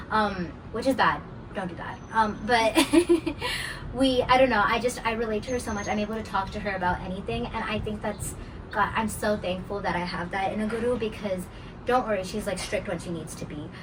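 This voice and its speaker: A woman speaks at a fairly quick pace with a fairly high pitch and ordinary pitch variation. There is audible room echo and noticeable background noise. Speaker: Carnatic vocalist. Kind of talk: casual interview. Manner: hesitant, many fillers.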